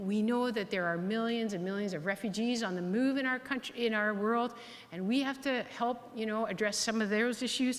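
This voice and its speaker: Audible room echo surrounds a woman's voice. She has a fairly high pitch and a Canadian accent. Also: ordinary pitch variation, moderate pace. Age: 60s. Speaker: health authority board chair and physician. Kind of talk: keynote speech. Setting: hall with audience.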